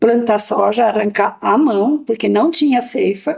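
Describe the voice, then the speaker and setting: Fairly high pitch from a woman, with ordinary variation in her pitch. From Mato Castelhano, Rio Grande do Sul, Brazil. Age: 70s. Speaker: elderly farmer. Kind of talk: interview testimony.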